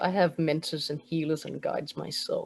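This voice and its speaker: In a Danish accent, a woman talks at a fairly quick pace. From Denmark. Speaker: spiritual mentor and energy healer. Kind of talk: interview with guided breathing exercise.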